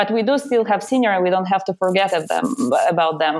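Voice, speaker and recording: In a Russian accent, a woman speaks at a fairly quick pace. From Russia, Siberia. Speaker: PR consultant and platform founder. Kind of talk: interview.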